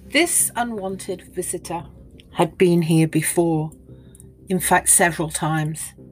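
Against music in the background, a woman speaks in a fairly low voice at a fairly slow pace with fairly even intonation. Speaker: podcast host and archaeology narrator. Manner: vivid, graphic storytelling; measured and evocative, lingering on grisly details.

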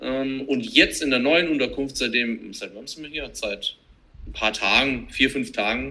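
A man's bright, sharp tone at medium pitch, fairly slow pace, ordinary pitch variation and big swings in loudness. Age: 30s. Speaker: CrossFit trainer, digital nomad. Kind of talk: casual chat.

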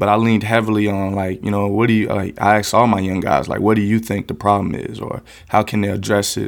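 Speaking at a very fast pace, a man with a fairly low pitch keeps a monotone, flat intonation. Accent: American. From US South, West Palm Beach, Florida. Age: 30s. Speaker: youth violence prevention organizer. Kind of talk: podcast interview.

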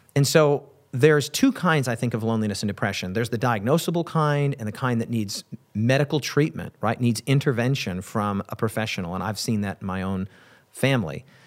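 At a fairly quick pace, a man with an ordinary speaking voice talks at a medium pitch with lively intonation. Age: 40s. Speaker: pastor. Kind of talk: interview.

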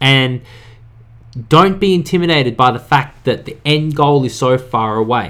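A man's medium-pitched, normal speaking voice with ordinary pitch variation. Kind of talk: pep talk. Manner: earnest, direct, urging listeners to act now; casual, conversational, upbeat.

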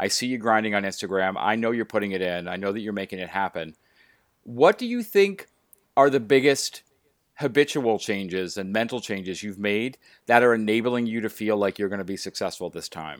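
A man's fairly low pitch, with ordinary pitch variation, comes through in an ordinary speaking voice at a fairly quick pace. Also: very clean recording, silent background. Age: 40s. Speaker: podcast host and coach. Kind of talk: interview.

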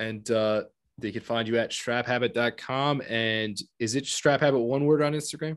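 A man's medium-pitched voice with fairly even intonation, in a very clean recording with a silent background. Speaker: watch podcast host. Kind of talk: casual chat. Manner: fast.

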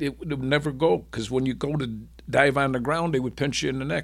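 A fairly high-pitched man's voice with vocal fry, at a fairly quick pace, in a very clean recording with a silent background. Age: 70s. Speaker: war veteran. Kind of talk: interview testimony.

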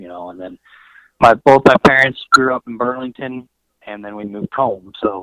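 A bright, sharp tone comes through at a moderate pace in a dry, close recording with no echo. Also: man. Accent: American. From Colorado. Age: 20s. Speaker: cattle rancher. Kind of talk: casual interview.

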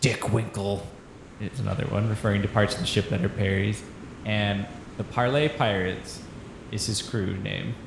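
A man speaks at a fairly low pitch with fairly even intonation. Long, frequent pauses break up his speech, and noticeable background noise sits behind it. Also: moderate pace. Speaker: improv comedy podcast host. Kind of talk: casual improv comedy chat.

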